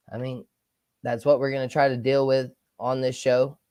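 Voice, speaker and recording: Speaking at a moderate pace with a Southern US accent, a man keeps a medium pitch and monotone, flat intonation. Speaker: sports podcast host. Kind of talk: casual livestream talk. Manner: loud.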